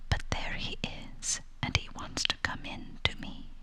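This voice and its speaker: A woman whispers in a gentle tone at a fairly slow pace. Noticeable background noise runs beneath her. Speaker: ASMR storyteller. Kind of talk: whispered bedtime story reading. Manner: whispered, soft-spoken, gentle.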